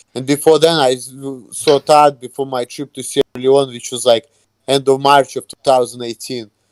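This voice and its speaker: Speaking with a non-native accent, a man talks at a moderate pace and a medium pitch. His intonation is fairly even, and the sound is dry and close with no echo. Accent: foreign. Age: 30s. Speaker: YouTuber. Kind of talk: casual interview.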